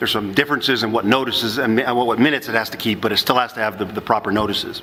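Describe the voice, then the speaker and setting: Over noticeable background noise, a man with a medium-pitched voice talks at a very fast pace with fairly even intonation. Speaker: municipal attorney, ethics speaker. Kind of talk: conference lecture. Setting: conference session with audience. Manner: halting, many repetitions.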